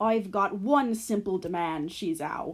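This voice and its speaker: A woman puts on a growling character voice at medium pitch. Her pace is fairly slow. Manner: menacing.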